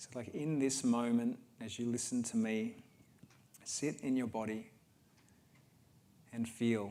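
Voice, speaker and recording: A man with an Australian accent speaks at a fairly slow pace, his tone dark and mellow. His intonation stays monotone and flat, broken by long, frequent pauses. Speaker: healer speaking at a wellness event. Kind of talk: guided talk to an audience. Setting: livestreamed event with audience.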